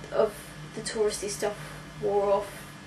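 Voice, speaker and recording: With audible room echo and noticeable background noise, a woman speaks in a British accent. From UK. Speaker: British expat in New York. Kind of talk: interview. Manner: hesitant, many fillers.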